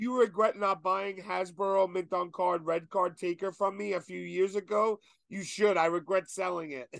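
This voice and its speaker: A man's high-pitched voice at a moderate pace, with a dry, close sound and no echo. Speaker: podcast host. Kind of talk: casual chat. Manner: energetic.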